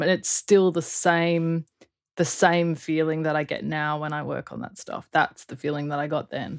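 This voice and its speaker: A woman with an Australian accent, fairly low pitch, moderate pace. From Perth, Western Australia (UK until age eight). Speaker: audio engineer and producer. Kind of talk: casual interview chat. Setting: remote call.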